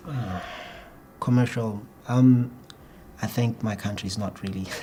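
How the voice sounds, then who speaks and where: Speaking at a fairly slow pace, a man with a medium-pitched voice and a slight Botswana accent keeps his intonation fairly even. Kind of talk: exam interview answer. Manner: fluent but rather slow, occasional hesitation.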